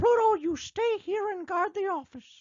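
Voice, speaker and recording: This is a put-on character voice, squeaky and at an extremely high pitch. It moves at a moderate pace. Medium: read story. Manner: eager, upbeat.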